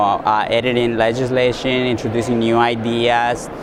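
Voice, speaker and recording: A man with an American accent and a medium-pitched voice, noticeable background noise and audible room echo. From Southern California. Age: young. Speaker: leadership fellow. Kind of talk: interview. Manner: hesitant, many fillers.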